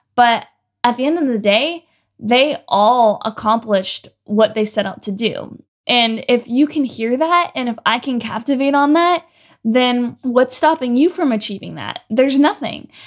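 The speech comes at a fairly slow pace. The recording is very clean, with a silent background. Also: woman, high pitch for a woman, ordinary pitch variation. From Canada, Ontario. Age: 20s. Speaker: podcast host. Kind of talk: solo podcast monologue.

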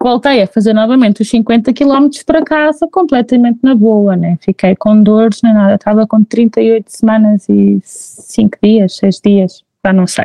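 Recorded dry and close with no echo, a woman speaks at a fairly high pitch and a fairly slow pace, with ordinary pitch variation and very even loudness. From Portugal, Figueira da Foz. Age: 20s. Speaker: mother telling her birth stories. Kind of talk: testimony in casual chat. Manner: animated.

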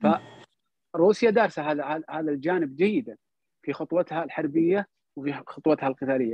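A moderate pace and ordinary pitch variation in a man's fairly high voice, an unremarkable speaking voice. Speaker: cultural salon host, guest speaker. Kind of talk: online talk on history. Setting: online audio/video call.

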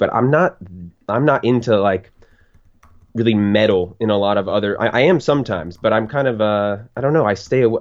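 This man has a normal speaking voice, fairly low in pitch, with ordinary pitch variation. He talks at a fairly quick pace. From Florida. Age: 20s. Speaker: podcast listener guest. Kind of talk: casual chat.

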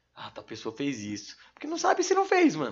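A man talks at a very fast pace. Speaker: rapper. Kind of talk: casual chat. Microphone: too far from the mic.

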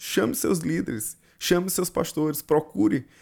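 A man speaks with a Brazilian accent on a very clean recording with a silent background. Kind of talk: fervent prayer to God in the second person, spoken aloud. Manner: conversational, didactic.

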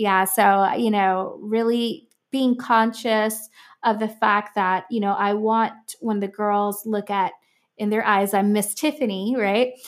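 On a very clean recording with a silent background, a woman with an American accent speaks in a plain, everyday voice at a fairly slow pace, her pitch fairly high and her intonation fairly even. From Miami, Florida. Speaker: music producer and nonprofit founder. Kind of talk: interview conversation.

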